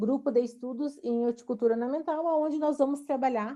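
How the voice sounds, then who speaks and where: A woman with a Rio Grande do Sul accent speaks in a dark, mellow tone with fairly even intonation over a quiet background. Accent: gaúcho (Rio Grande do Sul). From southern Brazil (Rio Grande do Sul). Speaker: university professor. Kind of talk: online lecture. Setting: online video lecture. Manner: hesitant, many fillers.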